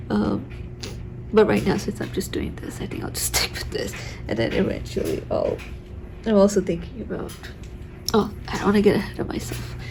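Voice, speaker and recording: Whispering at a fairly quick pace, with long, frequent pauses and noticeable background noise. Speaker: art tutorial creator. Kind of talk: tutorial. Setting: home recording at night. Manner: soft-spoken.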